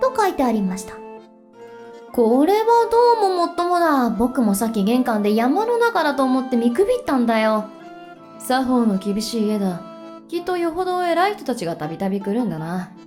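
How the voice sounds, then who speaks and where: With music in the background, a woman speaks at a moderate pace in a high pitch that swings very widely. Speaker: virtual streamer. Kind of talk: bedtime story reading.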